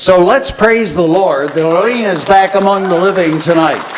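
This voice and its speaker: Noticeable noise fills the background, and the room echo is audible. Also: man. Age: 70s. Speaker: radio talk show host, conference emcee. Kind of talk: conference emcee remarks. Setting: stage with audience at dinner event.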